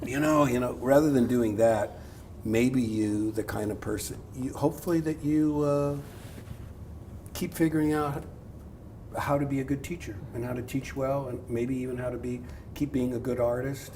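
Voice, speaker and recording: A man at a moderate pace with ordinary pitch variation, long, frequent pauses and audible room echo. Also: medium pitch for a man. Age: 60s. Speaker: art professor. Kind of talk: public talk with audience.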